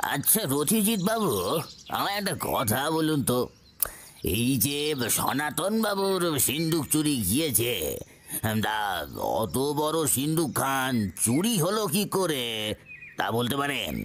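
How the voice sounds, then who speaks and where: Over light background noise, a man does a put-on character voice at a fairly slow pace, his fairly high pitch making very wide swings. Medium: audio drama. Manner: deferential.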